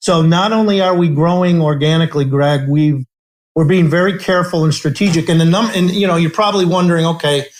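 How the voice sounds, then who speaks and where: Talking at a very fast pace in an American accent, a man uses a high pitch and fairly even intonation. His loudness stays very even throughout. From US Midwest, south side of Chicago. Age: 60s. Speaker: company CEO. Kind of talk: interview. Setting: podcast interview.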